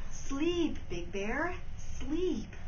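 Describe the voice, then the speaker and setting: Clear background noise sits behind a put-on character voice. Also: woman. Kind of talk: bedtime story. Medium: read story.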